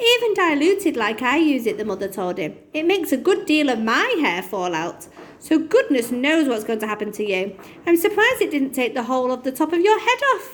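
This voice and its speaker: Putting on a character voice, a woman goes shrill and high-pitched, with very wide pitch swings at a fairly quick pace. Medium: read story. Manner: shrill, shrieking.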